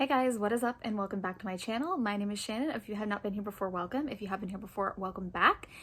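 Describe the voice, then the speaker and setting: Putting on a character voice, a woman talks very fast and quietly in a raspy, medium-pitched tone. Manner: talking quietly.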